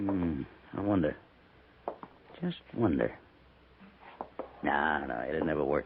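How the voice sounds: Using a put-on character voice, a man speaks slowly at an extremely low pitch, with vocal fry, a slightly husky edge and lively intonation.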